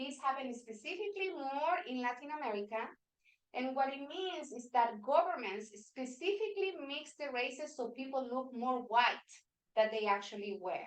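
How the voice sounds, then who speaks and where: A moderate pace with a Spanish accent. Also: woman, high pitch for a woman. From Venezuela. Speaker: workshop facilitator. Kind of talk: workshop presentation. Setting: meeting room with hybrid online audience.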